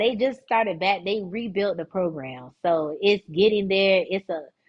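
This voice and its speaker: A woman speaks in a strong Florida accent at a moderate pace. Her tone is animated and her pitch medium. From South Florida (Fort Lauderdale). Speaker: dance director and former pro dancer. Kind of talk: casual podcast interview. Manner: animated, casual.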